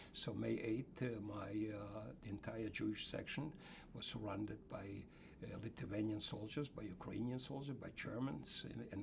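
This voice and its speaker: The man's fairly low voice moves at a moderate pace, with noticeable background noise present. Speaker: Holocaust survivor. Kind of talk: interview answer.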